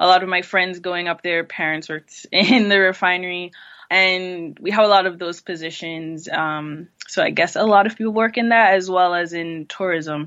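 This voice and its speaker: In an American accent, a woman with an unremarkable speaking voice talks at a fairly low pitch and a moderate pace, with fairly even intonation. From US Virgin Islands, St. Croix. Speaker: online shop founder. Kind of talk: interview.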